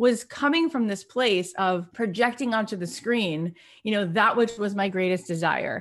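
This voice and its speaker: In a normal speaking voice, a woman with a fairly high pitch talks with ordinary pitch variation against a quiet background. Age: 40s. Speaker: podcast host and author. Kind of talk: interview storytelling.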